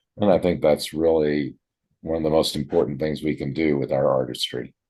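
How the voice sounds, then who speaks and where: A man talks at a fairly quick pace with a very deep, low pitch. His tone is dark and mellow, and his intonation fairly even. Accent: American. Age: 70s. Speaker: retired journalist and community theater actor. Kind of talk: interview.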